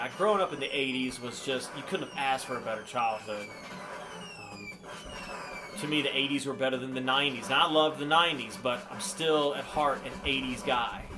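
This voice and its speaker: Relaxed in tone, a man talks at a fairly quick pace. Audible room echo and noticeable background noise surround him. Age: 40s. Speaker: YouTuber and guitarist. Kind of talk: casual vlog commentary over gameplay. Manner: loud; relaxed, hesitant with fillers.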